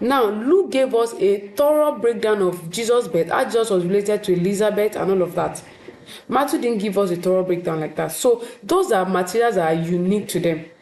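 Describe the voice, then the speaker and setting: A woman's lively, fairly quick speech amid noticeable background noise and audible room echo. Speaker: teacher. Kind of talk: lecture.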